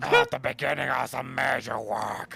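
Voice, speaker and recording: This is a put-on character voice with a raspy sound. The pace is moderate. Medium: fan dub. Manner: lofty, declamatory.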